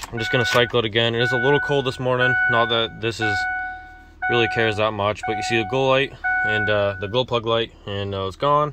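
Clear music plays in the background. The speech comes at a fairly quick pace in a dry sound with no echo. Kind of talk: tutorial commentary. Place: garage. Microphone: phone near.

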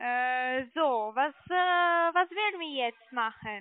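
At a slow pace, a woman talks in a high voice with lively intonation. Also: dry, close sound with no echo.

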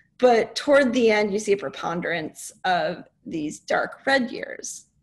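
A woman speaks with a fairly high pitch and very wide pitch swings. Her voice is somewhat breathy. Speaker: climate scientist; presenter. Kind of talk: lecture-style presentation. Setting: online webinar. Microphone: video call.

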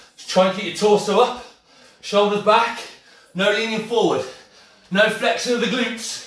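A man talks at a fairly slow pace in a space with audible room echo. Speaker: fitness instructor. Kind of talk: workout class instruction. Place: kitchen. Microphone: camera far.

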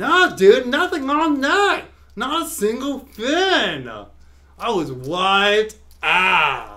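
A man does a cartoonish character voice at an extremely high pitch with very wide pitch swings. He speaks at a very slow pace. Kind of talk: comic puppet show. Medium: comedy sketch. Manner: laid-back, enthusiastic, goofy.

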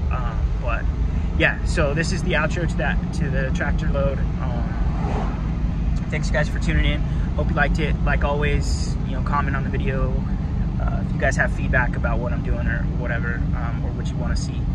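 A man talks at a moderate pace in a dry sound with no echo, with loud background noise behind him. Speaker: hotshot truck driver vlogger. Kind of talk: casual vlog chat. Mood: relaxed, friendly. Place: car. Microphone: phone near.

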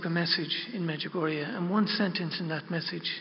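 A soft-spoken man with a high voice talks at a moderate pace with fairly even intonation. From Ireland. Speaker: pilgrim guide. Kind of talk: religious talk to an audience. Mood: reverent, heartfelt. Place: hall. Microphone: podium.

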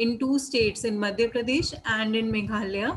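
A woman with an Indian accent speaks at a fairly slow pace, her intonation fairly even. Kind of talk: webinar panel discussion. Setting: video call. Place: home room. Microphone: video call.

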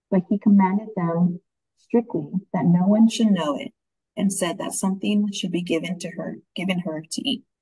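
The voice has a dark, mellow tone and is somewhat breathy. It moves at a moderate pace with ordinary pitch variation over a quiet background. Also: woman. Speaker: Bible study participant. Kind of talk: reading aloud. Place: home room. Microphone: video call.

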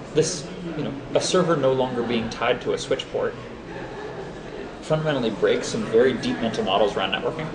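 Fairly quick speech from a man, with noticeable background noise. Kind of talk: interview answer. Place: booth.

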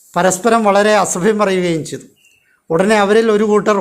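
A man talks in a high voice. His intonation stays fairly even. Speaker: storyteller narrating legends. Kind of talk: scripted narration. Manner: measured, phrase-by-phrase pacing.

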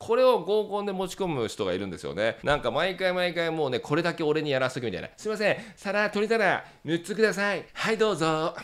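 Against a quiet background, a high-pitched man talks at a fairly quick pace in an animated tone with lively intonation and hardly any pauses. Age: 40s. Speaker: dating coach. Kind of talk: tutorial.

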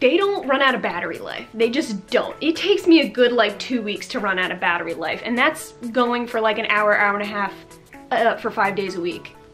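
A woman at a fairly quick pace, with faint music in the background. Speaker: lifestyle vlogger. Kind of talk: casual vlog chat. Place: home room.

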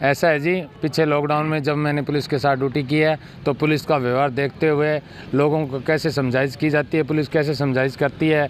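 With monotone, flat intonation, a man talks at a moderate pace, the sound dry with no echo and light background noise. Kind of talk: interview answer. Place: street. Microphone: handheld.

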